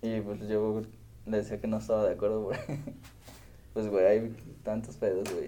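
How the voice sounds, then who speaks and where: In a room with audible echo, a man with a fairly low pitch and a dark, mellow tone speaks at a moderate pace in a monotone, flat intonation, with long, frequent pauses. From Mexico, Morelia, Michoacán. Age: 20s. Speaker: podcast host. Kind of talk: casual chat.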